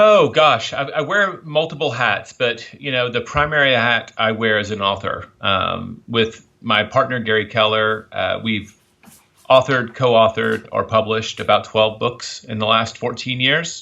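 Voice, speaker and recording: A man speaks at a medium pitch with a slight Southern US accent and ordinary pitch variation. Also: moderate pace. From US South, Memphis, Tennessee. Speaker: author and publisher. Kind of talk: interview.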